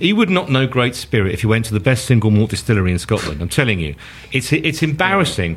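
A man talks at a very fast pace with very wide pitch swings around a medium pitch. Noticeable background noise sits behind him. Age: 50s. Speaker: football podcast panelist. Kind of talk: casual chat.

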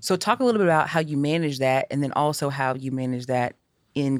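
In a very clean recording with a silent background, a woman talks at a fairly quick pace with a very deep, low pitch and ordinary pitch variation. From Nashville, Tennessee. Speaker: podcast host. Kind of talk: casual interview. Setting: studio.

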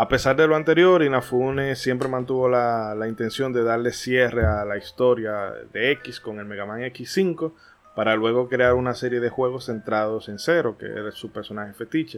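A man with an unremarkable speaking voice talks at a moderate pace and medium pitch. His pitch varies in an ordinary way, but his loudness swings a lot. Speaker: podcast host. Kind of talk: scripted narration; casual chat.

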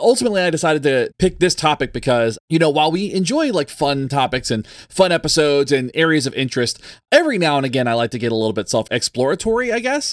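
A man with a fairly high voice talks at a very fast pace, with very wide pitch swings and a dry, close sound with no echo. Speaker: podcast host and professor. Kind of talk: casual chat. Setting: video call. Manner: fast talker.

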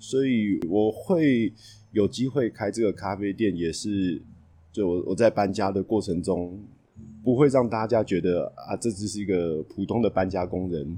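In a Taiwanese accent, a man talks at a fairly slow pace and fairly low pitch, with ordinary pitch variation and a dark, mellow tone against a quiet background. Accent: Taiwanese Mandarin. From Taipei, Taiwan. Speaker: café owner and moving company worker. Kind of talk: casual interview. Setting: on location in a café.

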